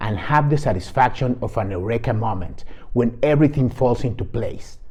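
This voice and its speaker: A man with a non-native accent, fairly high in pitch, somewhat breathy and dark and mellow in tone, at a moderate pace. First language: not English. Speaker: game guide creator. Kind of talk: product walkthrough.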